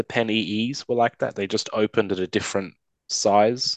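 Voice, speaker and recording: A man with an Australian accent, fairly low in pitch, at a fairly quick pace with fairly even intonation, in dry, close sound with no echo against a quiet background. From Sydney, Australia. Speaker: caller. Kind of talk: casual chat. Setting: video call.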